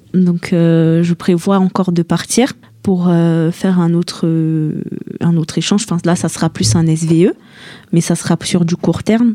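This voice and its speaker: This woman's voice has a fairly low pitch and a dark, mellow tone, with fairly even intonation and very even loudness. She speaks at a fairly slow pace with long, frequent pauses, and the sound is dry and close with no echo. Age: 20s. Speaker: young traveller. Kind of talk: radio interview.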